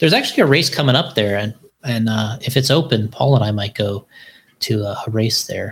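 At a fairly quick pace, a man talks with a medium pitch, ordinary pitch variation and a somewhat breathy sound. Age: 40s. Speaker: RC car racing company owner. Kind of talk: casual chat. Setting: live-streamed video podcast recorded at work.

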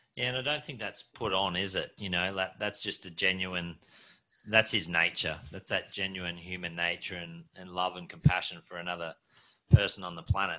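A man with an Australian accent speaks at a very deep, low pitch in a bright, sharp tone. The recording is very clean, with a silent background. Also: fairly even intonation, moderate pace, big swings in loudness. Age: 40s. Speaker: podcast host. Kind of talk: interview.

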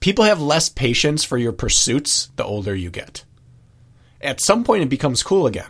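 A man's fairly high voice with vocal fry, very wide pitch swings, and a moderate pace. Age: 30s. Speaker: podcast co-host and runner. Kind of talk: casual chat.

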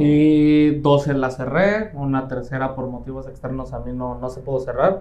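With a Mexican accent, a man of medium pitch speaks at a moderate pace, hardly pausing. His tone is dark and mellow, his intonation fairly even, and room echo can be heard. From Mexico, Quintana Roo (Playa del Carmen). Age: 20s. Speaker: real estate team leader. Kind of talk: interview.

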